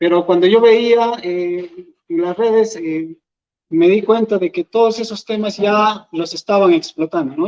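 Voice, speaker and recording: The voice has an Andean accent and a fairly slow pace. Its pitch variation is ordinary. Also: man. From Peru, Huancavelica. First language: Quechua (speaking Spanish). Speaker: YouTuber and Quechua teacher. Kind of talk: public talk. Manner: hesitant, many fillers.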